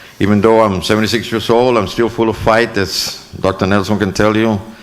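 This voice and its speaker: A moderate pace in an American accent, with noticeable background noise. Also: man. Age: 70s. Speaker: school board trustee. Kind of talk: acceptance speech. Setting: board meeting room with audience. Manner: halting, many fillers.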